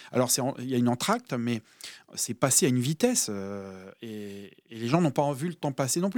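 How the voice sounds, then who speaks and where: On a very clean recording with a silent background, a man talks at a moderate pace and medium pitch with lively intonation. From France, mostly outside Brittany (Air Force family). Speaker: musician and musical director. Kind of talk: radio interview. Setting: radio studio. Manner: hesitant, many fillers.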